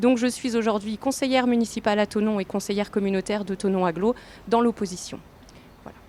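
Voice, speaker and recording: A woman talks at a very fast pace. Her voice sits fairly high, with fairly even intonation. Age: 40s. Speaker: political candidate. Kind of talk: interview. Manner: hesitant, many fillers.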